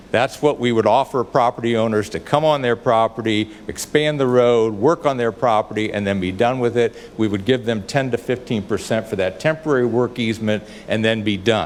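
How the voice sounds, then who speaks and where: The delivery is fairly quick. There are hardly any pauses, and background noise is noticeable. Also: man, medium pitch for a man, ordinary pitch variation. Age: 70s. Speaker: public commenter, property owner. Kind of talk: public comment at council meeting. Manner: formal, argumentative.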